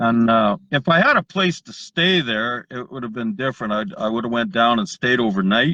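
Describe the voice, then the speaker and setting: With an ordinary speaking voice, a man at medium pitch keeps a moderate pace, lively intonation and hardly any pauses. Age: 60s. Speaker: viewer on call. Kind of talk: casual chat.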